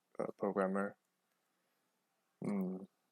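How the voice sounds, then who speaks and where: Fairly low-pitched male voice, close and dry, without any echo. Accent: Chinese. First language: Chinese. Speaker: programming tutor. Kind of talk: tutorial. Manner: halting, many fillers.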